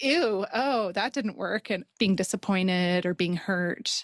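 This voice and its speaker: With a western Canadian accent, a woman at medium pitch speaks at a fairly slow pace, and the recording is very clean, with a silent background and a dry, close sound with no echo. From Canada, Calgary, Alberta. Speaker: podcast co-host. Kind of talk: casual podcast conversation.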